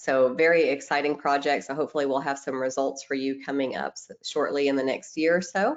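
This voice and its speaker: A woman with a Tennessee accent, very deep and low in pitch, her intonation fairly even. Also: fairly quick pace, hardly any pauses. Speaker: microbiologist presenting webinar. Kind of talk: webinar presentation. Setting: online webinar.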